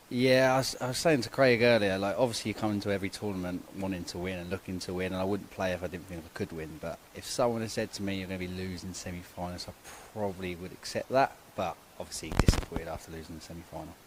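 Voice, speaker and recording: The speech is very fast, in an English accent, with ordinary pitch variation. Loudness swings widely. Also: man, very deep, low pitch for a man. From England. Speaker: short mat bowls player. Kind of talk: post-match interview.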